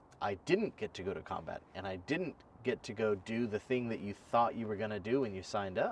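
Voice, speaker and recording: A man with a plain, everyday voice speaks at a moderate pace and a fairly low pitch. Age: 30s. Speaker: podcast host, military veteran. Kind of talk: casual interview chat.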